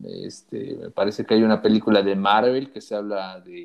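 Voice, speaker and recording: A man with a Mexican accent at a moderate pace against a quiet background. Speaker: podcast co-host. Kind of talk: casual chat.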